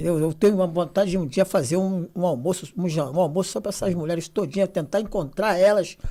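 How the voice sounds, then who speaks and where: A man's high-pitched voice, dark and mellow in tone with ordinary pitch variation, comes through in a very clean recording with a silent background. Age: 60s. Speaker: youth football coach in social project. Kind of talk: casual podcast chat.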